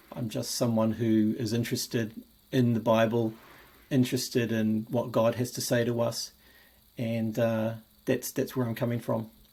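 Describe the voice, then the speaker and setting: The speaker talks at a moderate pace with a New Zealand accent. The intonation stays monotone and flat. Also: man, medium pitch for a man. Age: 50s. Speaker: Bible enthusiast video maker. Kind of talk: personal video presentation. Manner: halting, frequent repetitions and fillers.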